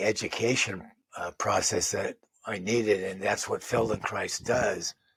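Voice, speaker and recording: At a fairly slow pace, a man with a medium pitch speaks somewhat breathily and with fairly even intonation. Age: 70s. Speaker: physical therapist assistant and movement practitioner. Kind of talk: interview. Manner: halting.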